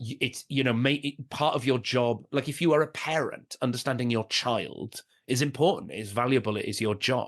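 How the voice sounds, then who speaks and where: The voice carries a Welsh accent with ordinary pitch variation. It moves at a moderate pace. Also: man. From Wales. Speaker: stand-up comedian. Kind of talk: podcast interview. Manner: halting, many restarts and fillers.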